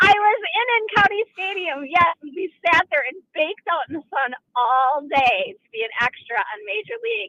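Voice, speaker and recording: A woman with an Upper Midwest accent, extremely high-pitched, with very wide pitch swings and big swings in loudness, at a moderate pace with hardly any pauses. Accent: Upper Midwest American. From Milwaukee area, Wisconsin. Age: 50s. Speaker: caller. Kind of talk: call-in radio.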